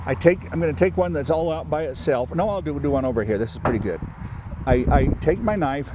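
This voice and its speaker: A man with a medium-pitched voice talks at a fairly quick pace, his pitch swinging very widely, while noticeable background noise runs underneath. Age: 60s. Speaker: farmer. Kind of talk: tutorial.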